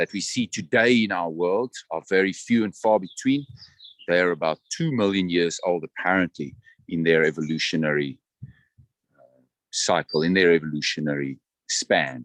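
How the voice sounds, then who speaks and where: A man speaks with a South African accent at a moderate pace, his intonation lively and his loudness swinging widely. The sound is dry and close, with no echo. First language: Afrikaans. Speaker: tour guide. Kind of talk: guided tour commentary. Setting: outdoors, walking in a botanical garden.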